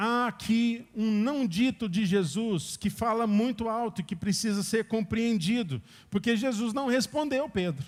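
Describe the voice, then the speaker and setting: At a fairly slow pace, a man with a high pitch and ordinary pitch variation speaks on a very clean recording with a silent background. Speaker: preacher. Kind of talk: sermon.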